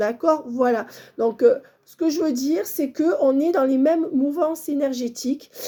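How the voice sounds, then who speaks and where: A woman speaks at a high pitch with lively intonation. Her tone is dark and mellow. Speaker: medium, tarot reader. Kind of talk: channelled guidance reading to viewers.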